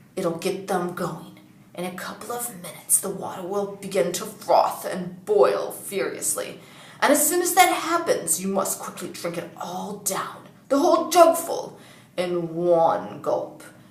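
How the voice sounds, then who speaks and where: Using a put-on character voice, a woman speaks at medium pitch and a moderate pace, creaky and with big swings in loudness, under a slight echo. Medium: read story. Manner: whispering, coaxing.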